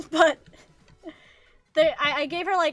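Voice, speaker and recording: Raising and projecting her voice, a woman with an American accent speaks at an extremely high pitch with a bright, sharp tone. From US. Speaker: VTuber streamer and artist. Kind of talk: gaming livestream chat. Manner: halting, stumbling.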